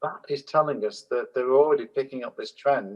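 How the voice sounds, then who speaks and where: A man is talking. He keeps a moderate pace. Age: 60s. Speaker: holistic management consultant and trainer. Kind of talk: panel discussion.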